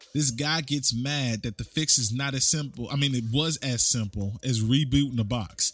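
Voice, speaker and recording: With an animated tone and ordinary pitch variation, a man talks at a moderate pace with hardly any pauses. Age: 30s. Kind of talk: casual storytelling monologue.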